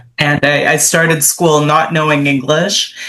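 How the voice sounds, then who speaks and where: Speaking at a very slow pace, a woman talks with a Canadian accent. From Canada, Toronto. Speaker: author. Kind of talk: interview.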